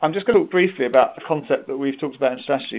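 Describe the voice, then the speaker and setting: Lively intonation marks the speech of a man with a British accent. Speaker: webinar presenter on healthcare improvement. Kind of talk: online training webinar. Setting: live web conference. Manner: fast.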